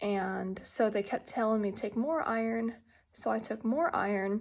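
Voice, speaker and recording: Soft-spoken, a woman talks at a moderate pace with fairly high pitch. The recording is very clean, with a silent background. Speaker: patient sharing health journey. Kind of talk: personal video update. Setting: at home. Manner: quiet, soft-spoken; hesitant, many fillers.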